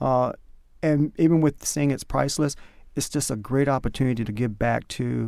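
A man with an American accent talks at a fairly quick pace in a dark, mellow tone. His pitch is medium, with ordinary variation. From North Carolina. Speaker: powwow MC and administrator. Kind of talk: interview.

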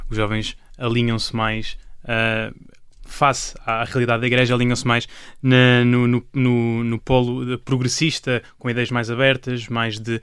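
The speaker is a man. His pace is moderate. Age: 20s. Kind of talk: panel discussion. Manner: halting.

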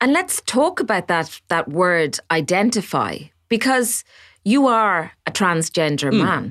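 A woman with an Irish accent talks at a fairly slow pace, her pitch swinging very widely. The sound is dry and close with no echo, in a very clean recording with a silent background. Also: medium pitch for a woman, very even loudness. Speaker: podcast host. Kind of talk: interview.

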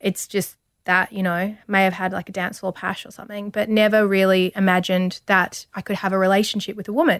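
In a very clean recording with a silent background and a dry, close sound with no echo, a woman speaks at a moderate pace in a medium pitch with monotone, flat intonation. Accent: Australian. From Australia, rural Victoria. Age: 30s. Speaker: model and TV presenter. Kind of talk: interview.

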